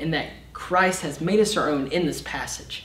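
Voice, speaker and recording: At a moderate pace, the speech shows ordinary pitch variation amid audible room echo. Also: man. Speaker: summer intern preacher. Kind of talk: sermon. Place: stage.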